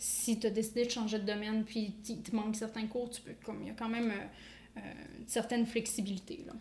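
A woman speaks at a fairly quick pace in a fairly high, somewhat breathy voice with monotone, flat intonation. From Quebec. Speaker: dietitian. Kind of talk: casual interview.

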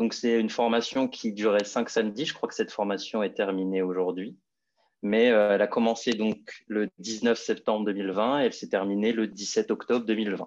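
A man speaks at a fairly low pitch and moderate pace. His intonation is monotone and flat against a quiet background. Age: 20s. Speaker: fashion model. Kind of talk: interview. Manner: halting.

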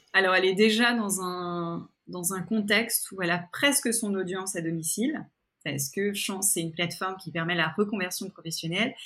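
Bright, sharp in tone, a woman speaks at medium pitch with ordinary pitch variation. The recording is very clean, with a silent background. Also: moderate pace. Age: 40s. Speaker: podcaster and entrepreneur. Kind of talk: interview conversation. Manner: hesitant, many fillers and repetitions.

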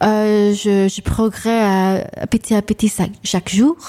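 A woman's fairly high, dark and mellow voice at a very slow pace, with an English accent. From New York, Long Island. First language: English (speaking French). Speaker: singer and vocal coach. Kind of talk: radio interview. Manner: halting.

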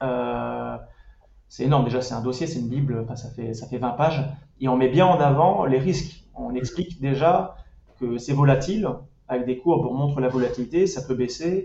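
A man talks at a moderate pace in a medium-pitched, somewhat breathy voice. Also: ordinary pitch variation. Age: 30s. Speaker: personal finance website creator. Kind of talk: casual interview. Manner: hesitant with fillers.

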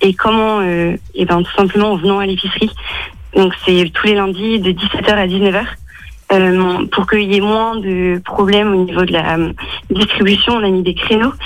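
Monotone, flat intonation marks this woman's speech. She has a medium pitch and takes long, frequent pauses. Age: 20s. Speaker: mathematics teacher and charity volunteer. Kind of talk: radio interview. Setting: phone call from home. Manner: hesitant, many fillers.

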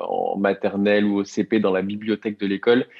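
A man is speaking. His pace is fairly slow. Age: 30s. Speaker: co-founder of a book subscription box. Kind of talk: interview. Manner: hesitant with frequent fillers.

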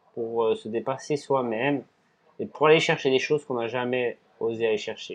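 A man talks at a moderate pace and a medium pitch. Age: 30s. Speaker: ultra-endurance cyclist and restaurant owner. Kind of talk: casual interview. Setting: in his restaurant.

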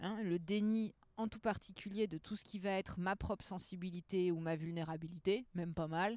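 A woman speaks in an unremarkable speaking voice at a medium pitch and a moderate pace. Her intonation is fairly even, and the sound is dry and close with no echo. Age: 30s. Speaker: trainer and therapist. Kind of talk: casual chat. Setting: outdoors in a bar garden.

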